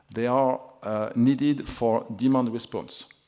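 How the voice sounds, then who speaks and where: A man is speaking at a medium pitch. His intonation is fairly even. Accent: Toulouse. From France, Toulouse. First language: French. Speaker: energy regulator panelist. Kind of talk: conference panel talk. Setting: conference. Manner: halting, many fillers.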